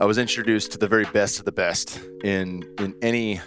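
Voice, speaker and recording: A man speaks at a moderate pace with a fairly low pitch and fairly even intonation. Music plays in the background. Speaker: podcast host. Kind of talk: podcast interview.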